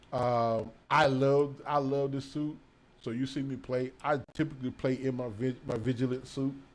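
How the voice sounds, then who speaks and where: Man's voice at medium pitch and fairly slow pace, on a very clean recording with a silent background. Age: 50s. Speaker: gaming YouTuber and music producer. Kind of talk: casual gameplay commentary. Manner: casual, halting with fillers.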